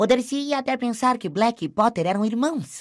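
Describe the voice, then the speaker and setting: A female-sounding voice in a put-on character voice speaks at a moderate pace with a fairly high pitch, in a very clean recording with a silent background. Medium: read story.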